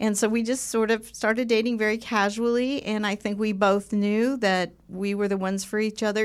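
In a very clean recording with a silent background, a woman speaks in a normal speaking voice at medium pitch, at a moderate pace, with fairly even intonation. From Southern California. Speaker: podcast co-host. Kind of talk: casual chat. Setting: studio.

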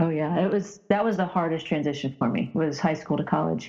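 A woman with an unremarkable speaking voice, fairly low in pitch, at a fairly quick pace. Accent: American. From rural Indiana, US Midwest. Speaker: former professional basketball player. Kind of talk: interview.

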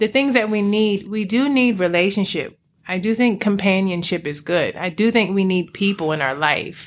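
A woman of medium pitch uses a normal speaking voice at a moderate pace with lively intonation, on a very clean recording with a silent background. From Washington DC area (PG County, Alexandria, Virginia). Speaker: transformation coach and yoga teacher. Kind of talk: casual interview.

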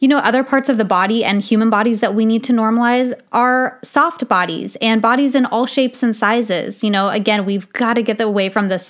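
A woman with an ordinary speaking voice, hardly any pauses, and very even loudness. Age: 30s. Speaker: podcast host. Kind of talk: solo podcast monologue. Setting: home recording, soundproofing taken down.

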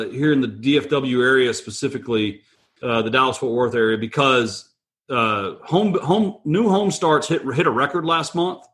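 A man speaks in a plain, everyday voice at a moderate pace. His intonation is lively. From Texas. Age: 40s. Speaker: real estate investor. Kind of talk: casual interview. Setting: remote call from home.

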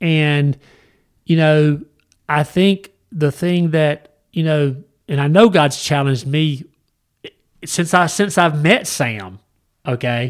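A man with a Southern US accent speaks at a very slow pace, leaving long, frequent pauses. His pitch is fairly high, with ordinary pitch variation. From US South. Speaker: podcast host, Bible study. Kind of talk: casual Bible discussion. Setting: studio.

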